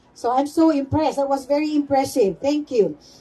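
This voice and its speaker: A woman speaks with a Philippine accent. Her pitch is high. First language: Cebuano (speaking Tagalog). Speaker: event emcee. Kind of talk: ceremony hosting. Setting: outdoor public ceremony.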